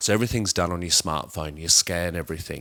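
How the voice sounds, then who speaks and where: A very deep, low-pitched man's voice in an Australian accent, with ordinary pitch variation on a very clean recording with a silent background. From Adelaide, South Australia. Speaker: climate scientist and physicist. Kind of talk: interview answer.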